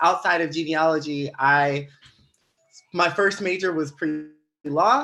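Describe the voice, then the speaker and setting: This man talks with a Louisiana accent and a fairly high voice. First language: Louisiana Creole. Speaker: genealogist. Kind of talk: casual chat.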